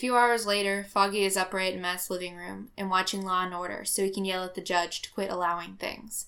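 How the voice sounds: A natural reading voice is heard here.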